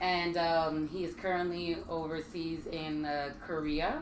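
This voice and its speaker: The voice carries a Virgin Islands accent. Noticeable background noise and audible room echo are present. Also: woman. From US Virgin Islands. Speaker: military wife and home business owner. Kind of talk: casual talk show chat. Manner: hesitant, many ums.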